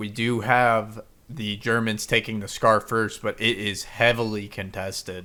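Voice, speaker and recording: Over a silent background in a very clean recording, a man with a bright, sharp tone speaks fairly slowly in a flat monotone. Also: medium pitch for a man. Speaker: game commentator. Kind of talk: live commentary. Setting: voice chat.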